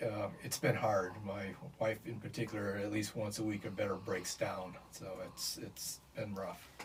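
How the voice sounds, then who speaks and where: The speaker has an American accent and a monotone, flat intonation. The delivery is fairly slow, with noticeable background noise. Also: man. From US Midwest, Michigan City, Indiana. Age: 70s. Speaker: bereaved father. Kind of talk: interview. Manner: halting.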